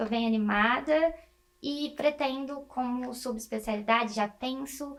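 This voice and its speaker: A woman's high-pitched voice with fairly even intonation at a fairly slow pace. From interior of São Paulo state, Brazil (Presidente Prudente). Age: 20s. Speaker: medical student. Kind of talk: interview.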